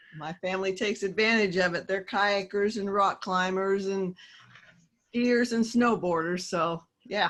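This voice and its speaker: In a Midwestern US accent, a woman speaks at medium pitch with fairly even intonation. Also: fairly slow pace. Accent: US Midwest. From Kansas. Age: 60s. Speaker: author and teacher. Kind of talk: casual interview.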